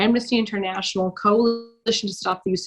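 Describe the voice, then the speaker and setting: In a normal speaking voice, a woman talks at a medium pitch and moderate pace with a Canadian accent. Her intonation stays fairly even. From Canada (Toronto). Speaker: lawyer and human rights activist. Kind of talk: podcast interview answer.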